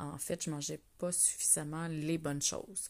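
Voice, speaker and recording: In a Quebec accent, the speaker goes at a very slow pace in a very clean recording with a silent background. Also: woman. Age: 40s. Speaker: wellness coach podcaster. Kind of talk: casual solo monologue. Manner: hesitant with frequent fillers; laughing often.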